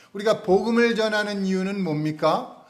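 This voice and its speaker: A man's lively intonation comes through with audible room echo around it. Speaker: pastor. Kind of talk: sermon. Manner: slow, unhurried.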